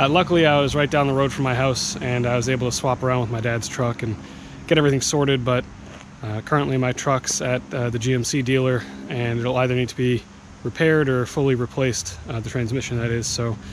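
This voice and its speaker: A man at a fairly quick pace with fairly even intonation, dry sound with no echo, and noticeable background noise. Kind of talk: casual vlog chat. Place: open country. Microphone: phone near.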